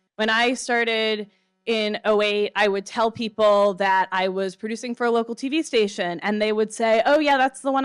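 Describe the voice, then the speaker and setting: A woman's normal speaking voice, fairly high in pitch, with ordinary pitch variation at a moderate pace, dry and close with no echo on a very clean recording with a silent background. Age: 30s. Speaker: conference producer, former local TV news producer. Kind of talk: conference talk. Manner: casual, with many fillers.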